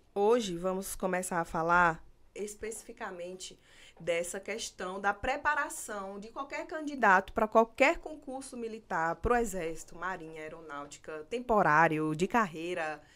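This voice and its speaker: With a Pernambuco accent, a woman speaks fairly slowly at a medium pitch, with very wide pitch swings and big swings in loudness, in a very clean recording with a silent background. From Pernambuco, Brazil. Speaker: military exam coach and podcast host. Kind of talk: live interview chat.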